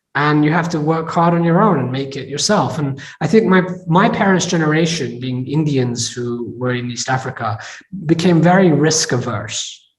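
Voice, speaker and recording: The speaker has an American accent and ordinary pitch variation. The pace is moderate, and there is audible room echo. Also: man, fairly high pitch for a man. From England. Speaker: tech entrepreneur and investor. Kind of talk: interview.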